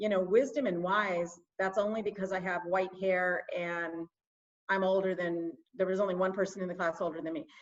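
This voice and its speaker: A woman with an unremarkable speaking voice talks at a moderate pace. Her medium pitch carries fairly even intonation. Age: 60s. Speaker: small business owner and marketing specialist. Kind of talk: interview.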